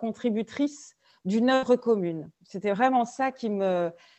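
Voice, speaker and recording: A woman speaks very slowly, her fairly high pitch showing ordinary variation. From France, various cities. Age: 40s. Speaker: business founder and leadership trainer. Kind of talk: podcast interview. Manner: hesitant, many fillers and repetitions.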